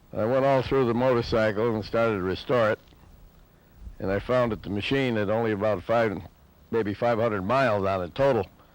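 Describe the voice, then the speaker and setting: The speaker has an ordinary speaking voice, moving at a fairly quick pace with fairly even intonation. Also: man, medium pitch for a man. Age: 60s. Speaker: motorcycle restorer. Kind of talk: interview testimony.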